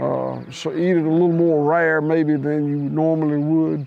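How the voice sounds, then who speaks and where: A man with an American accent, fairly high-pitched, at a moderate pace, his intonation fairly even. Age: 60s. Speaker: cattle rancher. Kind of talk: interview. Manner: halting, many fillers.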